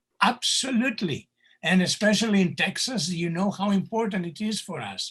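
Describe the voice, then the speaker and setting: With a Greek accent, a man speaks at a moderate pace in a bright, sharp tone against a quiet background. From Greece. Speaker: candidate for society president, professor. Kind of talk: town hall Q&A answer. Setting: video call. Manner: animated.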